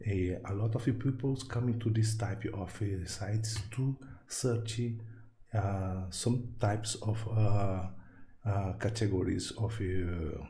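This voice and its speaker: A man's dark, mellow, somewhat breathy voice with a Brazilian Portuguese accent, at a very slow pace, with audible room echo. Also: fairly low pitch for a man, fairly even intonation. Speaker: tech YouTuber and programmer. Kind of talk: tutorial. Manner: halting, many fillers.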